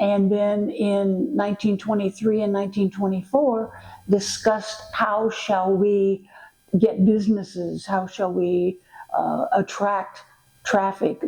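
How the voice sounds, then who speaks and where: Over noticeable background noise, a woman with a medium-pitched voice talks at a very slow pace with fairly even intonation. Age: 80s+. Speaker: former national director of a historic trail project. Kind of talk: interview answer, reminiscence. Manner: delightful storytelling.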